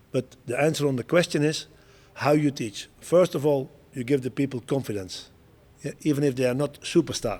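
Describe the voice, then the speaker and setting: A man with a Dutch accent, fairly high-pitched, at a moderate pace with ordinary pitch variation. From Netherlands. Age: 60s. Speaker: show jumping coach and Olympic rider. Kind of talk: interview. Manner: halting, with repetitions.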